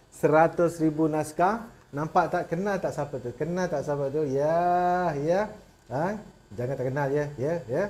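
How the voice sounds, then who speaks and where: A man with a fairly high pitch, ordinary pitch variation and a fairly slow pace. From Malaysia, rural village. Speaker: motivational speaker. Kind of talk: motivational talk. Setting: webinar. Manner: animated. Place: studio. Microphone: lapel.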